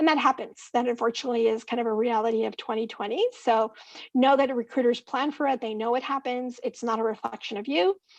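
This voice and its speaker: Speaking very fast, a woman uses a high pitch with ordinary variation. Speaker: career workshop presenter. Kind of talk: virtual conference presentation.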